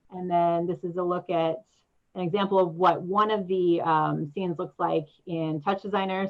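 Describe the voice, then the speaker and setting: A woman speaks at a fairly quick pace. Her voice sits at a medium pitch. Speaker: audiovisual artist and performer. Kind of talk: presentation with slides. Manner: fast.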